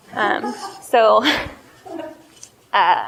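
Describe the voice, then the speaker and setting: A woman is talking. She has a fairly high pitch. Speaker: coffee shop owner and entrepreneur. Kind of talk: business presentation Q&A. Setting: cafe with live audience. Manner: loud; casual, hesitant with fillers.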